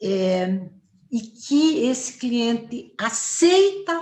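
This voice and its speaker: A woman speaks in a confident tone. Noticeable background noise runs behind her. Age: 60s. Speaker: family therapist. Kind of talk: interview. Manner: confident, fluent.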